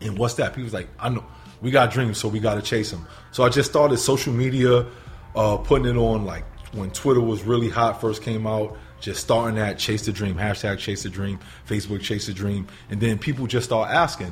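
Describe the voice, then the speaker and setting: With music in the background, a man with a New York accent speaks in fairly even intonation. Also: medium pitch for a man, fairly quick pace. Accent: New York City. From New York City, the Bronx. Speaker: motivational speaker and substitute teacher. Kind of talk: interview, telling his life story. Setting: studio.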